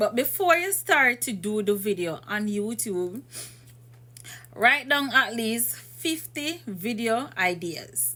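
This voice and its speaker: Speaking at a very slow pace, a woman with a fairly high pitch and a bright, sharp tone moves through very wide pitch swings. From Jamaica. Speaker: YouTuber giving channel advice. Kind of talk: tutorial. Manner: casual, conversational.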